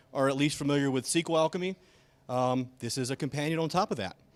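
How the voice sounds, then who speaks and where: A fairly high-pitched man with a slight Alabama accent, very fast, with ordinary pitch variation. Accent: slight Alabama Southern. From Alabama, US South. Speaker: software engineer, conference speaker. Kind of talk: conference talk. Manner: casual, with many fillers.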